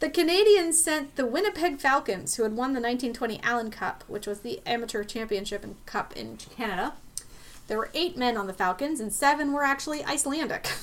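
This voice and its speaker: A woman with an American accent talks at a fairly quick pace in a high voice. Her pitch swings very widely, and there is noticeable background noise. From US, Pittsburgh. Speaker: podcast host. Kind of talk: history podcast chat with scripted research reading.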